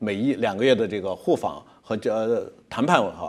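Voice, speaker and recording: A man speaking at a moderate pace. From mainland China. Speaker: logistics company executive; guest. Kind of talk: interview. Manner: halting with many fillers. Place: studio. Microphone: lapel.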